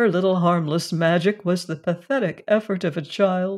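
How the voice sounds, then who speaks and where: A woman's theatrical delivery at fairly low pitch and moderate pace, fairly even in intonation, on a very clean recording with a silent background. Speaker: audiobook narrator. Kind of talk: literary audiobook reading. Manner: measured, theatrical narration with character voices; hushed, suspenseful, dramatic.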